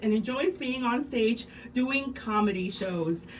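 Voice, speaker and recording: A high-pitched woman's voice with lively intonation over noticeable background noise. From Mexico. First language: Spanish. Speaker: radio host. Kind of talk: scripted introduction. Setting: radio studio.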